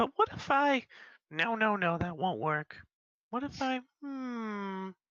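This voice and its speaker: Speaking at a fairly slow pace, a man uses a put-on character voice pitched high. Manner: muttering to himself.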